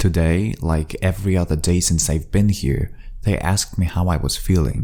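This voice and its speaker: With a non-native accent and a dark, mellow tone, a man speaks at a moderate pace. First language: not English. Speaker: amateur fiction writer and storyteller. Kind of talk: first-person journal-style story reading. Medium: read story.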